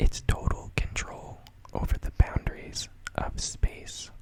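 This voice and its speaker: A man whispers at a very slow pace. Noticeable background noise can be heard. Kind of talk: interactive guessing game reading Pokédex entries. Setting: recorded at home late at night. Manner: whispered, soft-spoken.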